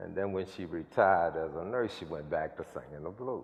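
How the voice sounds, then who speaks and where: A man with a very deep, low voice talks at a moderate pace. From New Orleans, Louisiana (West Bank). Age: 60s. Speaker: community activist. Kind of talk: public conversation. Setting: chapel event with audience. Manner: animated.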